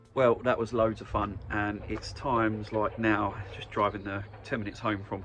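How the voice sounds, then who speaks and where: Music plays in the background. A man talks in a fairly low pitch. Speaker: vegetable farmer and vlogger. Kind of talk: casual vlog. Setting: outdoors; in a car.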